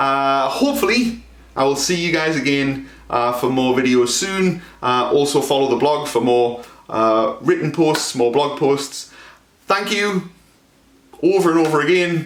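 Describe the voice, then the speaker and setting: A man's fairly high voice at a fairly slow pace, with ordinary pitch variation, very even loudness and audible room echo. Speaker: historian. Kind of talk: lecture. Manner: halting, many fillers.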